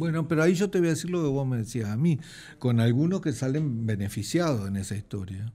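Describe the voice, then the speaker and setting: This man talks at a fairly quick pace with a medium pitch, a dark, mellow tone and lively intonation. The recording is very clean, with a silent background. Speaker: economist, retired professor. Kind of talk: interview.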